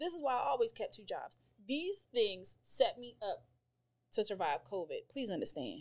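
With an American accent and vocal fry, the voice moves at a moderate pace through very wide pitch swings and big swings in loudness. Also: woman, fairly high pitch for a woman. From grew up mostly overseas, then Colorado. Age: 40s. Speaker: cafe owner and entrepreneur. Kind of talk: casual chat.

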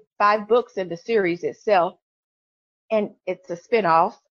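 A woman in a Memphis accent, speaking very slowly. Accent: Southern US (Memphis). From US South, Memphis, Tennessee. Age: 40s. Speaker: author. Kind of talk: interview.

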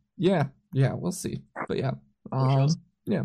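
The voice belongs to a man with a fairly high pitch. It sounds somewhat breathy. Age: 20s. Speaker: podcast host and concert photographer. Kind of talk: casual chat.

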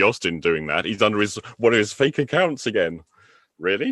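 Recorded with a dry, close sound, no echo and a quiet background, a man speaks at a very fast pace in a bright, sharp tone. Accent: English. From England. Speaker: NLP trainer. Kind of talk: casual chat. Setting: call.

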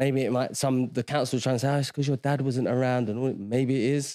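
Speaking at a very fast pace in a London accent, a man has a medium pitch and a dark, mellow tone in a dry, close sound with no echo. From South London. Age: 40s. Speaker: former footballer turned agency owner. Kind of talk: casual interview chat.

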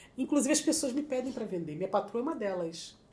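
Here is a woman speaking. Her pace is very fast. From Rio de Janeiro, Zona Norte suburbs. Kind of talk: casual interview, storytelling.

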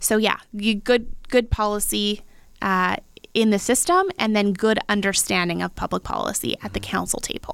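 Speaking with a Western Canadian accent, a woman keeps a moderate pace at a medium pitch with ordinary pitch variation. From Abbotsford, British Columbia, Canada. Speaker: sommelier and local politics candidate. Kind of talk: casual chat.

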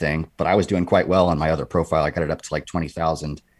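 A man with a West Coast US accent speaks on a very clean recording with a silent background. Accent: General American (West Coast). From California. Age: 30s. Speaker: former SWAT officer and fitness content creator. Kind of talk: casual interview chat.

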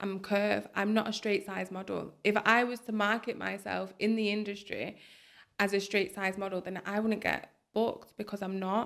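A woman in a Lancashire accent at a moderate pace, her intonation flat and monotone. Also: medium pitch for a woman. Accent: Bolton. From Bolton, northern England. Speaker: curve model. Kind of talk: podcast interview.

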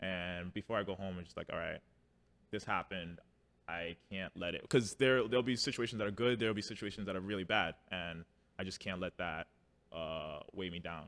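A man with a New York accent, a very deep, low pitch and a fairly quick pace. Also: ordinary pitch variation, very clean recording, silent background. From New York City (Harlem). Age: 30s. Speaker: firefighter. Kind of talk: casual chat.

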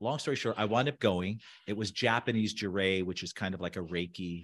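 The speaker has an ordinary speaking voice with an American accent and talks at a fairly quick pace over a quiet background. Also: man. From US, Southern California. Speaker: architect and designer. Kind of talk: casual interview.

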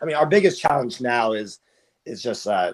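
A man with an American accent talks at a moderate pace with ordinary pitch variation. It's an ordinary speaking voice over a quiet background. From US Mid-Atlantic (Potomac, Maryland). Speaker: startup founder and CEO. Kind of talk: interview.

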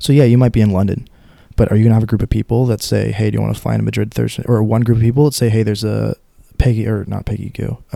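In an American accent, a man speaks very fast with a fairly low pitch, a dark, mellow tone and monotone, flat intonation. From Pittsburgh area, Pennsylvania. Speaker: student. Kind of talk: casual chat.

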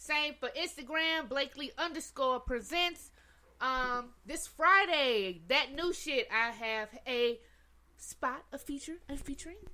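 A woman speaks in a raised, projected voice at a very slow pace, her tone bright and sharp, her pitch high and her intonation lively. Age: 30s. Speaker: podcast co-host and performer. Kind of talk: casual chat.

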